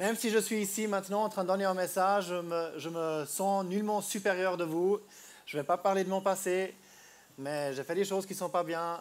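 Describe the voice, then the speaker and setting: Moving at a moderate pace, a man with a high pitch keeps his intonation fairly even. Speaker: street preacher. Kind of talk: sermon. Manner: halting.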